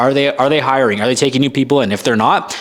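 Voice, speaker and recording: This man has a fairly high pitch and an energetic tone, with a Canadian accent. Noticeable background noise sits behind him. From Canada. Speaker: firefighter career coach. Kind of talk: Q&A monologue to camera. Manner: casual, energetic.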